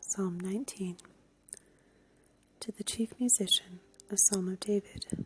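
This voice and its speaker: The speaker is soft-spoken. Music plays in the background. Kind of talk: scripture reading, ASMR.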